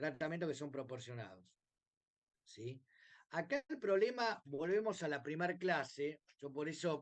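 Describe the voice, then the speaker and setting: A man with a Rioplatense accent at a fairly slow pace, lively in intonation, with long, frequent pauses. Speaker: bioethics professor. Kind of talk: lecture. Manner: hesitant with many fillers.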